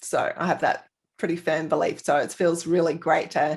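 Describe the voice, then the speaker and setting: At a moderate pace, a woman with an Australian accent speaks on a very clean recording with a silent background. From Australia, Sydney. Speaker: thyroid health advocate and author. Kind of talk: casual interview.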